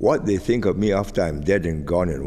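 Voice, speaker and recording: This man's very deep, low voice has a dark, mellow tone. He speaks with a Singaporean accent and vocal fry. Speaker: retired politician. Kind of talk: interview answer. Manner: soft-spoken, slow.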